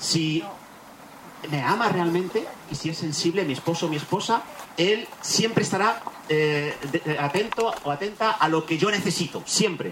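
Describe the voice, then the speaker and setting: Audible room echo and noticeable background noise surround this recording. A man talks at a high pitch and moderate pace. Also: ordinary pitch variation. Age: 40s. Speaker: pastor. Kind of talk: sermon. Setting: church retreat.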